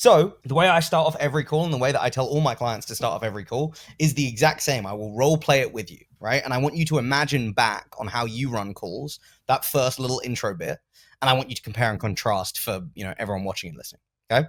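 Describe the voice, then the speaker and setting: A man with an English accent and medium pitch talks at a very fast pace with lively intonation and big swings in loudness, on a very clean recording with a silent background. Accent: English accent, noticeable. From England. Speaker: sales coach. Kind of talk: coaching session with role play.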